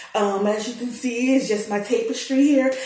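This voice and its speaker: A woman with a fairly high pitch speaks in an animated tone with ordinary pitch variation. Audible room echo and noticeable background noise fill the recording. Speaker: storyteller. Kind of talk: casual chat; storytelling. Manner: loud.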